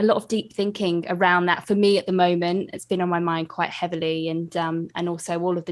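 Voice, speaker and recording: Talking at a very fast pace, a woman with a British accent has a fairly low voice. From UK. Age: young. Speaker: podcast host. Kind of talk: interview.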